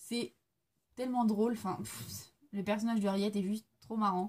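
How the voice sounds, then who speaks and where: Medium in pitch, a woman's voice is somewhat breathy with a dark, mellow tone. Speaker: book reviewer. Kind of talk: casual video monologue, book review. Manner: hesitant, many fillers.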